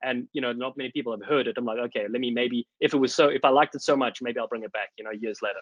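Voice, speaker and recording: A man talks at a very fast pace with a South African accent. He hardly pauses at all. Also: medium pitch for a man. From South Africa, Cape Town. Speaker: rugby commentator. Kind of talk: casual chat. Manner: animated.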